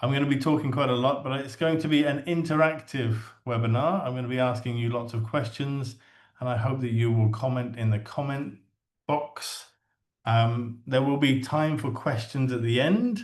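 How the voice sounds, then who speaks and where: A man with an English accent speaks at a medium pitch. His intonation is fairly even and his pace moderate. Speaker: English teacher trainer. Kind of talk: webinar presentation. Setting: online webinar.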